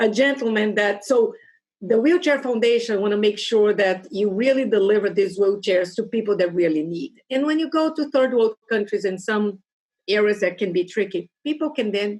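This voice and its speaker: Intonation is lively, in a Portuguese accent. The pace is moderate. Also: woman. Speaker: Rotary club member. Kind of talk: casual interview.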